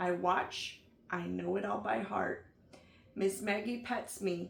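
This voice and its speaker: In a put-on character voice, a woman speaks raspy and fairly slow at a medium pitch. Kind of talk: bedtime story. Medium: read story.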